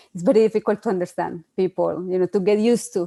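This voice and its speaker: Woman's medium-pitched voice in a Spanish accent, dark and mellow in tone, with fairly even intonation. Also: dry, close sound with no echo. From Colombia. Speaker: PhD researcher. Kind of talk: online panel discussion. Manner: hesitant, many fillers.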